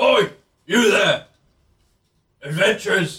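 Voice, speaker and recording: This is a put-on character voice. It sounds raspy and gruff. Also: man, high pitch for a man. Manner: calling out, shouting.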